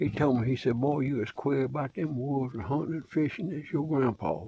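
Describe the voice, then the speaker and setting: Somewhat breathy and dark and mellow in tone, a man speaks at a moderate pace in a fairly high pitch. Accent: Southern US. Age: 70s. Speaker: outdoorsman vlogger. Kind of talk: casual monologue.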